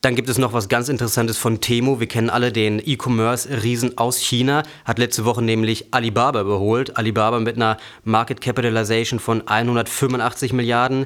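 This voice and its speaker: Here a man talks at a fairly quick pace and a medium pitch, with very even loudness. His intonation is monotone and flat. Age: 20s. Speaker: finance podcast host. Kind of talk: news reading.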